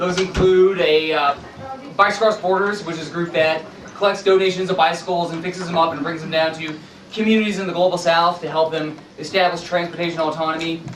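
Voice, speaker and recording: A loud, high-pitched man's voice at a very fast pace, flat and monotone, with noticeable background noise and audible room echo. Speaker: author and sustainability activist. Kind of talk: public presentation. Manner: loud, projecting voice.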